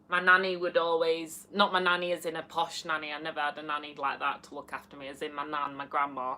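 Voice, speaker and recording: In a Yorkshire accent, this bright, sharp voice races along at a very fast pace with hardly any pauses, fairly even intonation and big swings in loudness. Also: woman, very deep, low pitch for a woman. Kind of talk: casual, drops the.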